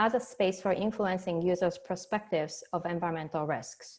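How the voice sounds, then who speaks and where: A woman speaks with a Japanese accent at a fairly quick pace. The recording is very clean, with a silent background. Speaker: professor and talk series host. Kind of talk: speaker introduction.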